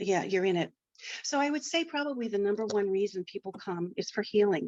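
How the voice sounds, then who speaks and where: At a fairly quick pace, a woman speaks with lively intonation and a medium pitch. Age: 60s. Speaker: tarot reader. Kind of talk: interview. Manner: halting.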